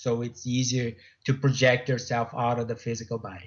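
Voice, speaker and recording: A man talks with a Portuguese accent. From Brazil, Sao Paulo state. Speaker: author and afterlife researcher. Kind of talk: radio interview. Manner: halting, many repetitions.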